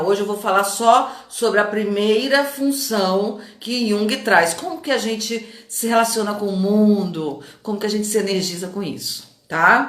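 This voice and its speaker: A woman speaks at a medium pitch and moderate pace, with an animated tone and ordinary pitch variation. Noticeable background noise and audible room echo surround her voice. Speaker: coach. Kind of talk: live stream talk to viewers.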